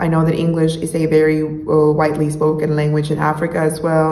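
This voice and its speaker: Noticeable background noise and audible room echo surround a woman with a very deep, low pitch. She speaks at a fairly quick pace. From Mexico, Monterrey. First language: Spanish. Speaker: YouTuber, language learner. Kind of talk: casual vlog talk.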